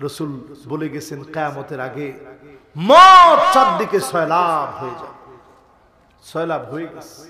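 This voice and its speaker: Noticeable background noise surrounds a man speaking. His loudness swings a lot while his pitch varies in an ordinary way. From Bangladesh. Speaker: Islamic preacher; religious preacher. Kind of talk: sermon. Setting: outdoor religious gathering with PA. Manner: calm, not shouting. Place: stage. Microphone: podium.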